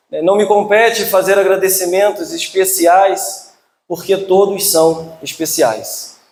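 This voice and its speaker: Loud and very slow, a man with a Rio de Janeiro accent speaks at a high pitch. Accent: carioca (Rio de Janeiro). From Rio de Janeiro, Brazil. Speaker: spiritist lecturer. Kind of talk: religious lecture. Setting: hall with audience.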